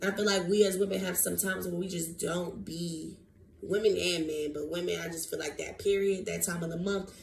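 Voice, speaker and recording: Noticeable noise sounds in the background. The room carries an audible echo of a woman's voice. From US South. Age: 20s. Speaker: podcast host. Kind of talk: casual monologue podcast. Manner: animated.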